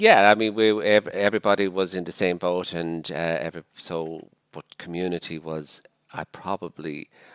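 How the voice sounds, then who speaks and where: A man with a Dublin accent and a very deep, low pitch speaks at a moderate pace with fairly even intonation and big swings in loudness, on a very clean, dry, close recording with no echo and a silent background. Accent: Irish, Dublin. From Ireland, Dublin. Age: 60s. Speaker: missionary priest. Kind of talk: podcast interview. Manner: hesitant, with many fillers.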